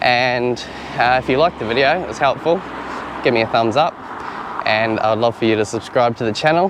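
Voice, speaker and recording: A man with a medium-pitched voice talks at a fairly quick pace in a relaxed tone, leaving long, frequent pauses, with noticeable background noise behind him. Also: ordinary pitch variation. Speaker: YouTuber testing camera gear. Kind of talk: gear review tutorial. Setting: outdoors. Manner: casual, relaxed.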